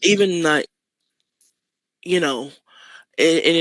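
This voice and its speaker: A woman's voice with a Manchester accent. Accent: northern English (Manchester). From Manchester, northern England. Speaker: artist and poet. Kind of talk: interview. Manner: casual, with many fillers and repeats.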